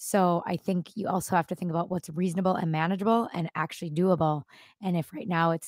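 A woman with an American accent speaks at a fairly quick pace in a normal speaking voice, fairly low in pitch with fairly even intonation. The recording is very clean with a silent background, dry and close with no echo. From Minnesota. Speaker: elementary school teacher. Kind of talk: interview podcast.

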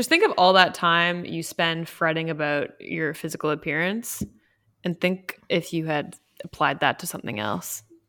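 A woman's fairly low voice at a moderate pace, with ordinary pitch variation and music in the background. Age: 20s. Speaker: podcast co-host. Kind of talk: casual chat. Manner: animated.

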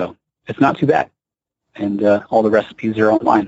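A man talks at a medium pitch and a moderate pace, with ordinary pitch variation. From US South, South Carolina. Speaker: dietitian, dairy industry representative. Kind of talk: casual interview. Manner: hesitant with frequent fillers.

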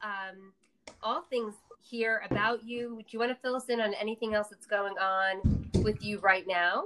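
With an American accent, a woman speaks fairly slowly in a fairly high, bright, sharp voice with ordinary pitch variation. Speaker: podcast host. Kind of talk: interview, casual conversation.

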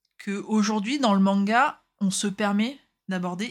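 A woman's somewhat breathy, medium-pitched voice at a fairly slow pace, on a very clean recording with a silent background. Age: 30s. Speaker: podcast co-host. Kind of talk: casual chat. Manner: halting.

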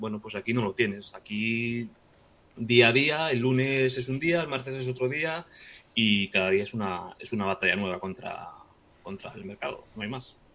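Here a man talks at a moderate pace. His tone is bright and sharp. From Galicia, Spain (Vigo). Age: 40s. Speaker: trader. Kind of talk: casual chat. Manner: halting, with frequent repetitions.

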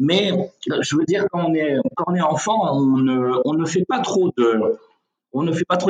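Here is a man with a fairly high pitch. His intonation is lively. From Senegal. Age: 30s. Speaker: real estate executive. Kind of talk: interview. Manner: hesitant with fillers.

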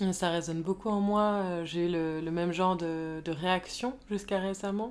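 At a fairly slow pace, a woman speaks in a medium pitch with ordinary pitch variation, in a very clean recording with a silent background. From Paris, France. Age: 20s. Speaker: podcast guest. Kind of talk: casual chat. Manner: halting.

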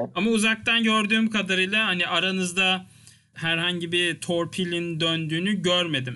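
High-pitched for a man, his voice keeps very even loudness and ordinary pitch variation. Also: moderate pace. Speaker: podcast host. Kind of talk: casual chat.

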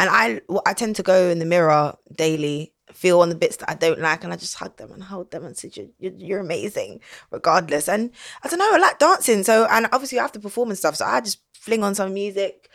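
Speaking fairly quickly with a South London accent, a woman at medium pitch uses lively intonation and big swings in loudness. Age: 30s. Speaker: singer. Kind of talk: casual chat.

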